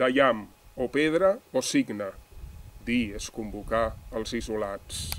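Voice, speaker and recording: Speaking at a very slow pace with long, frequent pauses, a man uses a medium pitch and lively intonation. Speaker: poet. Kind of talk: poetry reading. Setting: outdoors.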